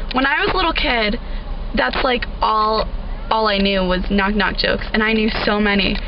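Music in the background behind a woman's moderate pace. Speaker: vlogger. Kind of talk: casual vlog chat. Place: car. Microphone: phone near.

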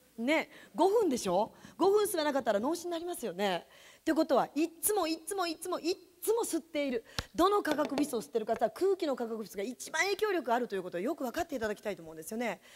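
A woman talks at a very fast pace in a high, animated voice. Her pitch swings very widely. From Japan, Yamanashi; Japan. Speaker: direct sales distributor, former teacher. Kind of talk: sales seminar talk. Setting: stage with audience. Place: meeting room. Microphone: handheld.

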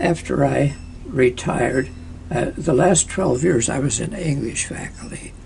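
Man at a fairly slow pace, with noticeable background noise. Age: 80s+. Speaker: former college historian. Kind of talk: interview answer.

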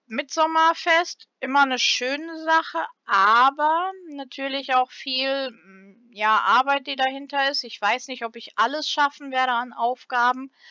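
Speaking at a very slow pace, a woman uses a high pitch with ordinary pitch variation and big swings in loudness. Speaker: gaming YouTuber. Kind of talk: casual vlog talk to viewers.

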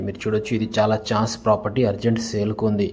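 A man speaks at a fairly quick pace with a fairly low pitch and a dark, mellow tone.

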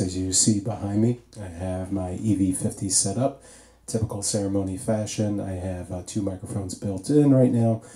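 A man talks at a moderate pace, his fairly low voice dark, mellow and somewhat breathy, with ordinary pitch variation. Audible room echo is present. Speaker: DJ reviewing microphones. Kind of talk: tutorial. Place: home room.

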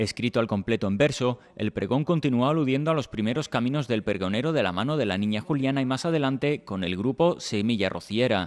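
Delivered in a normal speaking voice, the speech moves at a fairly quick pace with lively intonation and hardly any pauses. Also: man, medium pitch for a man. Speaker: local news reporter. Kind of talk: news reading, scripted narration. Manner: formal, measured.

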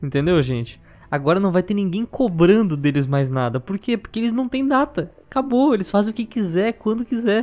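Pitching his voice high, a man talks at a moderate pace as his pitch swings very widely. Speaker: gaming YouTuber co-host. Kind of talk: casual commentary.

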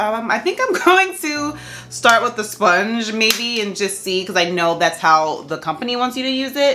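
A woman's fairly quick speech with very wide pitch swings over background music. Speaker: beauty vlogger. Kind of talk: tutorial. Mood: excited, upbeat. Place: home room.

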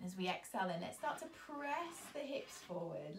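Somewhat breathy, a woman talks at a moderate pace amid audible room echo and light background noise. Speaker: yoga instructor. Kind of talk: guided yoga instruction. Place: home room. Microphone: camera far.

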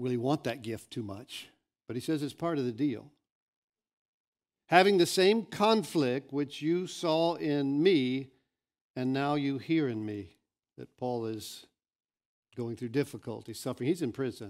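A man at a fairly slow pace with long, frequent pauses against a quiet background. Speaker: pastor. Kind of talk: sermon. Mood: earnest, calm. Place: church. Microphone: headset.

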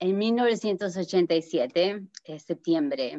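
Her pitch varies in an ordinary way. The woman is heard over a quiet background. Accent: Argentine. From New Jersey, US (Argentine-born, moved at seven). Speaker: accident survivor sharing her story; interview guest. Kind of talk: testimony; interview answer, personal story. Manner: halting, many fillers. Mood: earnest, recounting a tragedy. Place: home room. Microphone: video call.

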